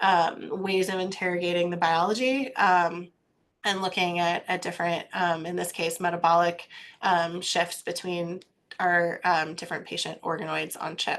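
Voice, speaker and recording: She has an ordinary speaking voice, a woman at a fairly low pitch with fairly even intonation. Her pace is moderate, with a quiet background. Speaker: cancer researcher. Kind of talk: lecture.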